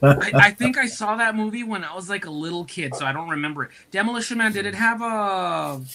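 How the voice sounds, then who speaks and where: A man's raised, projected voice runs at a very fast pace with hardly any pauses, in a high pitch and a bright, sharp tone. His intonation is lively, with big swings in loudness. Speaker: guest on a live stream. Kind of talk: casual chat.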